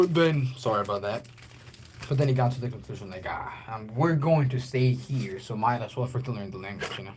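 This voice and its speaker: Fairly quick speech with big swings in loudness comes through over noticeable background noise. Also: man, medium pitch for a man, ordinary pitch variation. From Guatemala. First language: Spanish. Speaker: livestreamer. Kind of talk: casual livestream chat. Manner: halting, many fillers and restarts.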